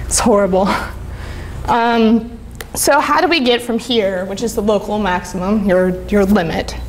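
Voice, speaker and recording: Amid noticeable background noise and audible room echo, a woman talks at a moderate pace and medium pitch with ordinary pitch variation. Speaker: conference speaker, UX designer. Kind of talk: conference talk. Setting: stage with audience. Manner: casual, filler-heavy.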